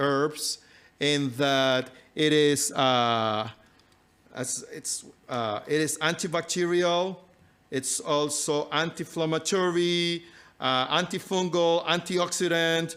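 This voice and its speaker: At a very slow pace, a man speaks with a fairly high pitch and ordinary pitch variation. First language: not English. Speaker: health and nutrition speaker. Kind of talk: live talk to audience. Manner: halting, many fillers.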